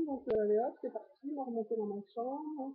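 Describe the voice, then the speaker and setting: This woman speaks with a high pitch and ordinary pitch variation. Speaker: vlogger documenting weight-loss surgery journey. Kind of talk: personal vlog, casual recounting. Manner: fast; hesitant, many fillers.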